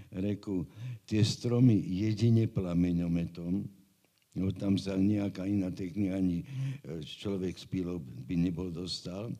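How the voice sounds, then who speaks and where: Very deep and low, a man's voice with a dark, mellow tone moves at a fairly slow pace, with ordinary pitch variation and big swings in loudness. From Bratislava, Slovakia. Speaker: geomorphologist. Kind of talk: interview.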